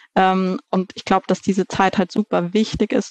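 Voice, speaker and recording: In a plain, everyday voice, a woman talks at a fairly slow pace with medium pitch and fairly even intonation, the sound dry and close with no echo against a quiet background. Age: 30s. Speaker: managing director of a family organic food company. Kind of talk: interview.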